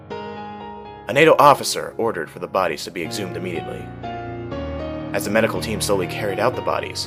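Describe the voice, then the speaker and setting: A man talks at a very fast pace, with big swings in loudness and long, frequent pauses. Music plays in the background. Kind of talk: horror story narration (creepypasta reading).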